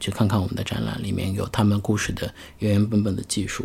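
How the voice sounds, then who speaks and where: This man has a fairly low pitch and a plain, everyday voice. He talks at a fairly quick pace. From Xi'an, China. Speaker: podcast host. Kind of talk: casual chat.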